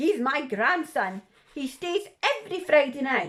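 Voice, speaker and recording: Very wide swings in pitch from a put-on character voice, delivered fairly slowly. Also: woman. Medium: read story.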